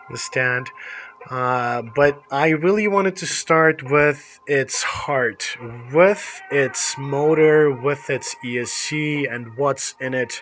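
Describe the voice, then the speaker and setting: Noticeable background noise runs under a man speaking at a very slow pace. His voice is fairly high in pitch, with ordinary pitch variation. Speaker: RC hobby youtuber. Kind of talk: product review. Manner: casual, hesitant with fillers.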